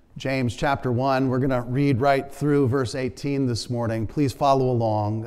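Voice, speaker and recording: Against a quiet background, a man speaks fairly slowly with fairly even intonation. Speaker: preacher. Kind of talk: sermon, prayer and scripture reading. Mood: earnest, calm. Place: church. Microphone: lapel.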